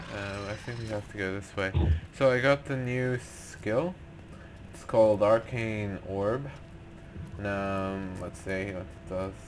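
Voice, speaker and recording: A man with a fairly low pitch talks at a fairly slow pace, with ordinary pitch variation and big swings in loudness. Music plays in the background, and he leaves long, frequent pauses. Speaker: gamer. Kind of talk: casual gameplay commentary.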